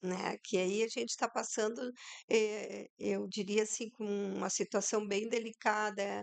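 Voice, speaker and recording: At a fairly slow pace, a woman speaks in a flat monotone at a fairly high pitch, the sound dry and close with no echo. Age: 60s. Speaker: entrepreneur, people management. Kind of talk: podcast interview.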